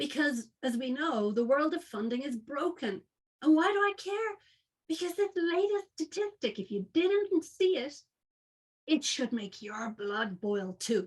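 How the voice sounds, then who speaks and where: A passionate, high-pitched woman, with very wide pitch swings at a fairly slow pace. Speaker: founder of an organisation funding women entrepreneurs. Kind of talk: webinar presentation.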